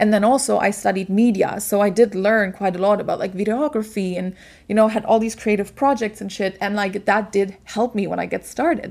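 With a German accent, a woman of medium pitch speaks at a fairly quick pace with hardly any pauses. The recording is very clean, with a silent background. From Germany. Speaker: podcast host, business coach. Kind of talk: casual solo monologue. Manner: animated.

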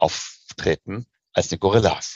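This man's voice carries vocal fry. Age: 40s. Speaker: investment banker. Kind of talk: interview.

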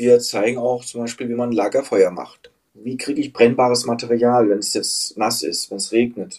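A man talks at a moderate pace. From Hesse, Germany (Frankfurt area). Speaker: outdoor tour guide. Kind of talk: casual interview. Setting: remote call from Thailand.

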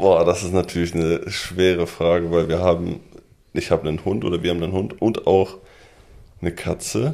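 A man speaks with a very deep, low pitch. He leaves long, frequent pauses. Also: fairly even intonation, moderate pace. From Lübbecke, East Westphalia, Germany. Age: 20s. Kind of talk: casual chat. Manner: hesitant with fillers.

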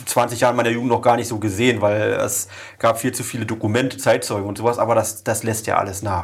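Somewhat breathy, a man speaks at a fairly quick pace and a medium pitch. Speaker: mayor and podcast host. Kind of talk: interview.

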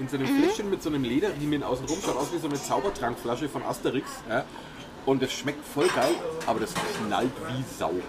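Over music in the background, a man talks at a fairly quick pace with a fairly high pitch and ordinary pitch variation. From Franconia, Nuremberg. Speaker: podcast host. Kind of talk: casual chat.

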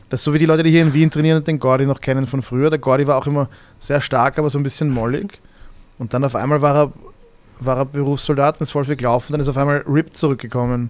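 Talking at a very fast pace yet with long, frequent pauses, a man with a fairly high pitch speaks in a monotone, flat intonation. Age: 30s. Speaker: MMA fighter and jiu-jitsu coach. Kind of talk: casual chat.

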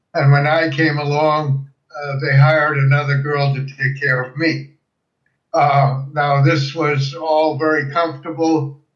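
The voice is somewhat breathy, with monotone, flat intonation. It moves at a fairly slow pace, with audible room echo. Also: man, fairly high pitch for a man. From Germany, Breslau (Silesia); emigrated to US at 13. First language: German. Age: 80s+. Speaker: World War II veteran and refugee. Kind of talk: interview testimony. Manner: halting, frequent fillers.

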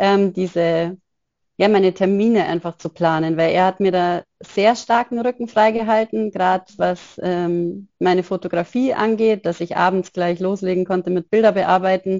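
A woman talks at a moderate pace in an ordinary speaking voice. Her pitch is medium and her intonation fairly even. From Upper Bavaria, near Munich. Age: 30s. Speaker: photographer and single mother. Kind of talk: interview conversation.

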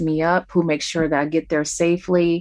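Against a quiet background, a woman with a plain, everyday voice speaks at a moderate pace, fairly low in pitch and with fairly even intonation. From Detroit. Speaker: record label manager. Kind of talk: interview.

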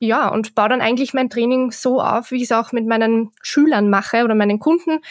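A woman speaks at a high pitch with fairly even intonation. The recording is very clean, dry and close, with no echo and a silent background. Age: 20s. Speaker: shooting instructor. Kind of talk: interview.

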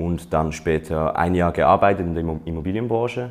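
Moderate-paced speech from a man with a very deep, low voice and ordinary pitch movement. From Switzerland. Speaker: career coaching client, aspiring student. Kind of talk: interview.

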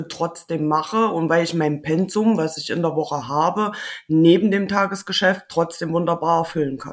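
A woman with an unremarkable speaking voice talks at a moderate pace, her pitch fairly low and her intonation fairly even. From Thuringia, Germany. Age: 30s. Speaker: maintenance technician. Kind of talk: interview.

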